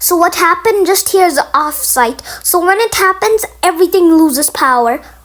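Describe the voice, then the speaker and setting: Over noticeable background noise, a woman with an extremely high pitch speaks at a moderate pace with lively intonation and very even loudness. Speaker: gaming youtuber reacting to video. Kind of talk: reaction commentary. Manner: halting.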